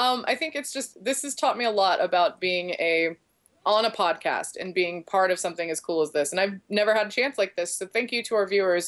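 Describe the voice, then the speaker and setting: Talking at a fairly quick pace, a woman uses a medium pitch. Her intonation is lively. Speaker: podcast co-host. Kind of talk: casual chat. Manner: animated.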